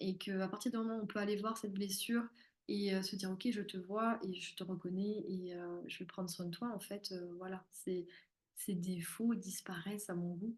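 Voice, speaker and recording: A woman speaks in a somewhat breathy voice. Her intonation is monotone and flat. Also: medium pitch for a woman, moderate pace. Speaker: spiritual therapist and medium. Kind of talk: live-streamed masterclass. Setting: live stream.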